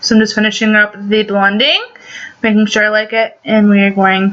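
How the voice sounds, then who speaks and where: A woman's voice over noticeable background noise. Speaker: beauty vlogger. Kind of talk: makeup tutorial. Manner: casual, with many fillers.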